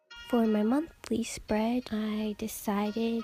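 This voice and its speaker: A woman's fairly high voice at a very slow pace, with music in the background. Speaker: student. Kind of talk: casual voiceover for a bullet journal plan-with-me video. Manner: monotone.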